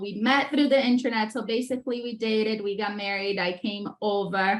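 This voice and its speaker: A woman speaks with a Brazilian Portuguese accent. Her voice is fairly high in pitch. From Brazil (Rio de Janeiro). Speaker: entrepreneur, former dolphin trainer. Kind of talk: podcast interview.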